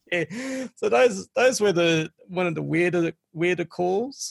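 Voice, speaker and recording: Fairly slow male speech with an Australian accent. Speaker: former game hotline counselor and collector. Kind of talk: interview.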